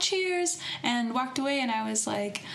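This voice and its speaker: A woman with an American accent speaks with very wide pitch swings, with audible room echo and noticeable background noise. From United States. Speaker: podcast co-host, student abroad. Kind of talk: casual chat.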